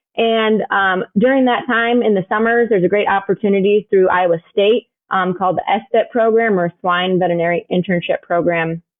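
Delivered at a moderate pace with an American accent, an unremarkable speaking voice keeps very even loudness and ordinary pitch variation. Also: woman, medium pitch for a woman. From US Midwest, Chicago suburbs. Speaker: swine veterinarian. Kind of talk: interview.

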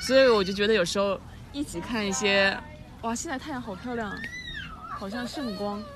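Amid audible room echo and noticeable background noise, a woman speaks at a fairly quick pace with ordinary pitch variation and long, frequent pauses. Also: medium pitch for a woman. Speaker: podcast co-host. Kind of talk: casual chat. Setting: outdoor hilltop cafe.

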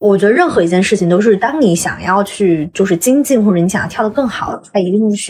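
Noticeable background noise surrounds a woman who talks at a very fast pace. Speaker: travelling swing dancer. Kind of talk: casual interview chat. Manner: talkative.

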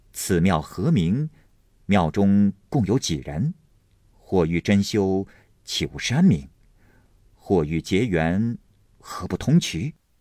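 In a put-on character voice, a man speaks slowly with a low pitch, a dark, mellow tone, big pitch swings, and long, frequent pauses.

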